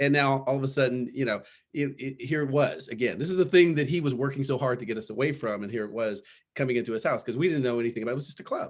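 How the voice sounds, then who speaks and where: Very fast and with lively intonation, a man with a West Coast US accent speaks at a fairly high pitch. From Los Angeles area, California. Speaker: panelist parent. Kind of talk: panel discussion, personal story. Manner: halting, many repetitions.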